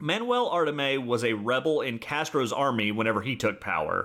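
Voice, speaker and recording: At a fairly quick pace, a man with a normal speaking voice talks with lively intonation. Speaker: podcast host. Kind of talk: casual chat, storytelling. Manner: joking, humorous.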